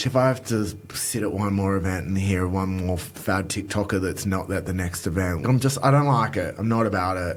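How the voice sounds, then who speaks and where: With an Australian accent, a man talks at a fairly quick pace in a fairly low pitch with ordinary variation, amid noticeable background noise and audible room echo. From rural Australia. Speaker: makeup artist. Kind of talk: interview.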